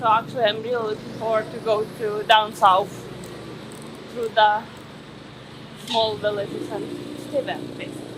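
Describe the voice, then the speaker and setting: Noticeable background noise behind a fairly high-pitched female voice. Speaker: travel vlogger. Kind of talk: casual talk to camera.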